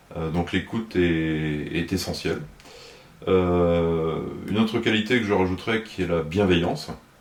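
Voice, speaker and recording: Over noticeable background noise, a man with a very deep, low voice speaks at a fairly slow pace with ordinary pitch variation. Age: 60s. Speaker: municipal election candidate, retired fire officer. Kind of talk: interview. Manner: hesitant, many filler sounds.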